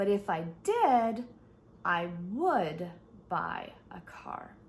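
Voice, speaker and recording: A somewhat breathy woman at a medium pitch. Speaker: English teacher. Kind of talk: online English lesson. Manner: slow, clear.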